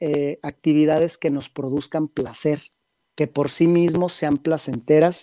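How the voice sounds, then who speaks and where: Spoken with a western Mexican accent at a fairly slow pace, the voice has a dark, mellow tone and a dry, close sound with no echo. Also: man. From Mexico, Guadalajara. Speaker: psychiatrist. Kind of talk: interview. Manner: halting, many fillers.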